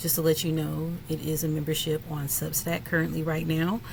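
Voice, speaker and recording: Audible room echo surrounds a woman whose very deep, low pitch comes through somewhat breathy. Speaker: spiritual content creator. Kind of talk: casual chat to camera.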